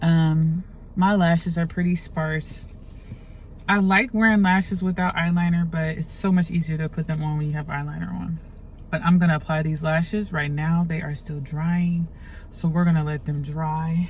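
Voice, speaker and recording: A somewhat breathy woman, fairly low in pitch, at a moderate pace with fairly even intonation. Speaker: makeup artist. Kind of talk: tutorial. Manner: casual, chatty.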